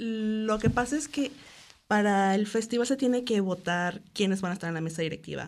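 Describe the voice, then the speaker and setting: Over a quiet background, a woman talks at a moderate pace and medium pitch with ordinary pitch variation. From Mexico, Cancún. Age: 20s. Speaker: festival committee member and illustrator. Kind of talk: radio interview. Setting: radio studio.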